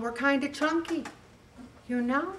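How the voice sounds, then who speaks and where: The speaker has an American accent and a moderate pace. Pitch varies in an ordinary way, with light background noise behind. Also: woman. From US Northeast (Syracuse, New York). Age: 70s. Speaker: weight loss group leader. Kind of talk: motivational talk. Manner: animated. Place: hall.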